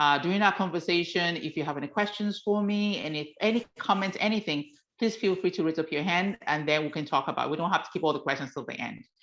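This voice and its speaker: Speaking with a Nigerian accent, a woman with a fairly low pitch goes at a very fast pace. The background is quiet. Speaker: author. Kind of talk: talk to a workshop audience.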